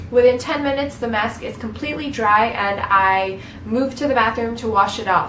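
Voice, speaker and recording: A woman talks at a moderate pace with ordinary pitch variation. Noticeable background noise and audible room echo fill the recording. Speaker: beauty vlogger. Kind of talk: tutorial.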